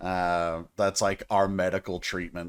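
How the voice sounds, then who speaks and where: Here a man is talking. His speech carries a Southern US accent. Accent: Southern drawl. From US South, Tennessee. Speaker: music reaction youtuber. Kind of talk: casual music reaction commentary. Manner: animated.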